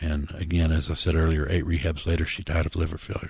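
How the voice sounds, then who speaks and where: A man's very deep, low-pitched voice, somewhat breathy. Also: quiet background. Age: 60s. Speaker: pastor and radio host in addiction recovery. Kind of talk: radio talk show. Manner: animated.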